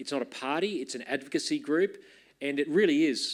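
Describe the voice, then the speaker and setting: A man in an Australian accent talks at moderate speed, captured in a very clean recording against a silent background. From Queensland, Australia. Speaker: party leader introducing speaker. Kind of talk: conference introduction speech.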